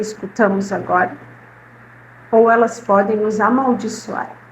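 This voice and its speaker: A woman speaks very slowly in a fairly high pitch. Her tone is warm and somewhat breathy. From southern Brazil, Caxias do Sul, Rio Grande do Sul. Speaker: spiritist lecturer, retired literacy teacher. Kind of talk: talk to a live audience. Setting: spiritist centre with audience. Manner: warm, conversational.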